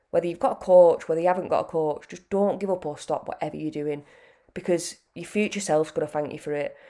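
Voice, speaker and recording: A woman with a British accent talks at a very fast pace in a fairly low, dark, mellow voice, her intonation fairly even and her loudness swinging widely. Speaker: fitness coach podcaster. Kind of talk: pep talk, casual motivational monologue. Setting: solo podcast. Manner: earnest, chatty, direct; conversational, with fillers.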